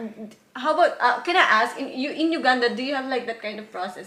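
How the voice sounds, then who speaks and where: A woman speaks at a fairly quick pace with ordinary pitch variation, heard with audible room echo and noticeable background noise. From Philippines. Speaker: YouTuber and factory worker. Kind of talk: casual interview. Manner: halting, many fillers.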